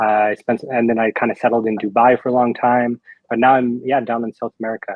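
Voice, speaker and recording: With a Canadian accent, a man talks at a very fast pace, his medium-pitched voice monotone and flat. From Canada. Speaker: crypto company spokesperson. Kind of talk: interview.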